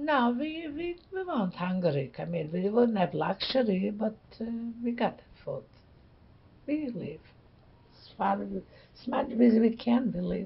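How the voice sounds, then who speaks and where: With a Polish accent, a woman speaks at a fairly slow pace and a fairly high pitch, with very wide pitch swings, big swings in loudness and long, frequent pauses. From Poland. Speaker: Holocaust-era survivor. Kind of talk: interview answer.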